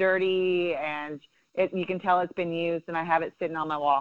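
Over a quiet background, a woman speaks with fairly even intonation in an ordinary speaking voice. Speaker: softball coach and former Olympian. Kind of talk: casual interview.

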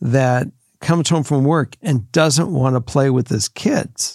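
A man at a fairly slow pace with ordinary pitch variation, in a very clean recording with a silent background. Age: 60s. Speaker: podcast host, father giving advice. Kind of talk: casual chat. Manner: halting, repeats words.

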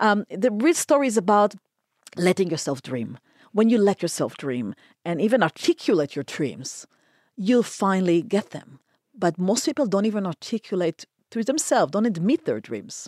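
In a very clean recording with a silent background, a woman with an Israeli accent speaks at a moderate pace and medium pitch, with very wide pitch swings, vocal fry, and a dry, close sound with no echo. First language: Hebrew. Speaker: concert pianist and speaker. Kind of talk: interview conversation.

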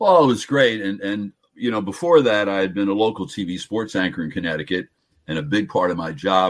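A man with a New Jersey accent, very deep and low in pitch, at a fairly quick pace. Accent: New Jersey American. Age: 70s. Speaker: sports broadcaster. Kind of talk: casual interview.

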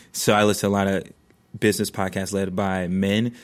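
A man speaks at a fairly quick pace in a fairly low pitch, his intonation monotone and flat, on a very clean recording with a silent background. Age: 30s. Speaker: venture investor and content creator. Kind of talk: casual chat. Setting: studio.

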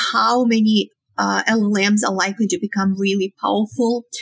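A woman speaks with a Romanian accent. Her pace is moderate. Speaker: psychology professor. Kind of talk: interview.

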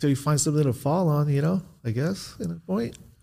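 A man's voice carries a somewhat breathy quality. Its tone is dark and mellow. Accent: American. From Southern California. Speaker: former drug dealer, now realtor. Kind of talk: interview. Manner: laid-back, frequent you know.

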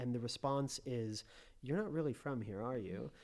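A man with an unremarkable speaking voice, a General American accent, medium pitch and ordinary pitch variation speaks at a fairly quick pace. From US, Colorado. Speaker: expat parent and business owner. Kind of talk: casual interview.

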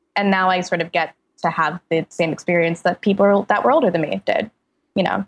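The sound is dry and close with no echo as a woman of medium pitch speaks at a fairly quick pace, with ordinary pitch variation and very even loudness. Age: 20s. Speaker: freelance writer and critic. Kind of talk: casual chat.

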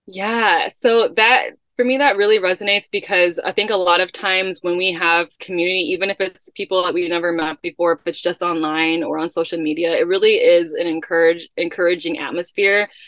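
In an American accent, a woman talks at a fairly quick pace with hardly any pauses. She has an unremarkable speaking voice, medium in pitch, with ordinary pitch variation. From US Midwest, Chicago. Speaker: children's book author and wellness entrepreneur. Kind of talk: casual interview. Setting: in a camper van.

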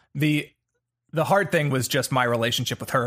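Here is a man with an unremarkable speaking voice. His pitch is medium, with ordinary variation. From US South, Atlanta. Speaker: actor. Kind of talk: casual chat.

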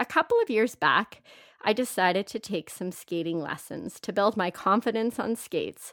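Her voice is fairly high and comes at a moderate pace. The sound of this woman is dry and close with no echo, on a very clean recording with a silent background. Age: 40s. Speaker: podcast host. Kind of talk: solo monologue.

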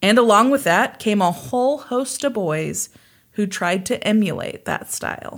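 Using a plain, everyday voice, a woman with an American accent speaks at a moderate pace, with a fairly high pitch and lively intonation. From US Midwest, Kansas. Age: 30s. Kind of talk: casual storytelling chat.

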